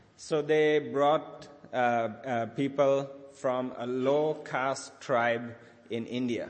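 Amid audible room echo, a man with a medium pitch speaks at a very slow pace with fairly even intonation. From Sri Lanka. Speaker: charity leader speaking at church. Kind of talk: sermon with interpreter. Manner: halting.

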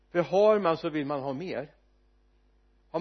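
This man's pitch is high, with ordinary variation throughout. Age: 70s. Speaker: preacher. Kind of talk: sermon. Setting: church.

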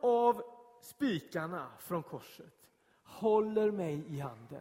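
Speaking very slowly, a man with a high-pitched voice uses lively intonation. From Gothenburg southern archipelago, Sweden. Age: 30s. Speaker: pastor. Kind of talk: sermon. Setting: church.

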